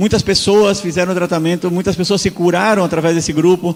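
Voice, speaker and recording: With noticeable background noise behind him, a man speaks in a high pitch with monotone, flat intonation. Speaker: health lecturer. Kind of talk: lecture. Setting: church.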